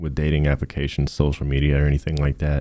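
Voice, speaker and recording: This man has a very deep, low voice. His tone is dark and mellow. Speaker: student presenter. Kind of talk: class project presentation. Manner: monotone.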